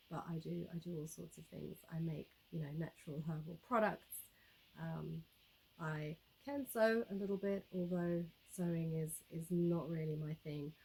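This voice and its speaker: Somewhat breathy and fairly low, a woman's voice moves at a moderate pace with ordinary pitch variation and long, frequent pauses. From South Africa. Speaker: YouTuber, homesteader. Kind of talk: casual vlog talk to camera. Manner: relaxed, many fillers and repetitions.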